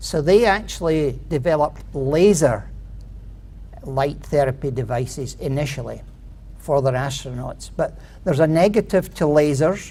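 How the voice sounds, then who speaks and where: A Scottish accent at a moderate pace. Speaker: inventor pitching a product. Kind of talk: contest pitch presentation. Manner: hesitant, with fillers.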